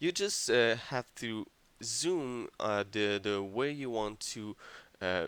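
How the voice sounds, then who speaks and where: A man with a French accent speaks at a very slow pace on a very clean recording with a silent background. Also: medium pitch for a man, ordinary pitch variation. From France. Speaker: video game tutorial maker. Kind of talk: tutorial. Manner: hesitant, many fillers.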